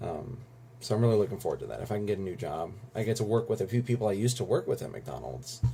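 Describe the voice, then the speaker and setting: A man races along at a very fast pace with ordinary pitch variation. His tone is dark and mellow, with vocal fry. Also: medium pitch for a man. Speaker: vlogger. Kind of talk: casual vlog monologue.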